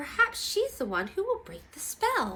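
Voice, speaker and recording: A woman uses a put-on character voice with an extremely high pitch and a gentle tone. She speaks at a moderate pace. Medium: read story. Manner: gentle, kind.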